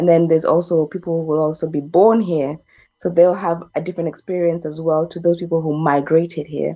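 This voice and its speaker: A fairly quick pace with monotone, flat intonation. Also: woman, fairly low pitch for a woman. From Kenya. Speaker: panel guest. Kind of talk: online panel discussion.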